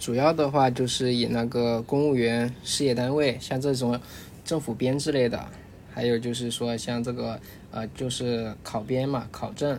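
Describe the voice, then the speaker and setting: A man's medium-pitched, monotone, flat delivery at a fairly slow pace, with audible room echo. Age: young. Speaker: training center manager. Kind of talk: casual chat.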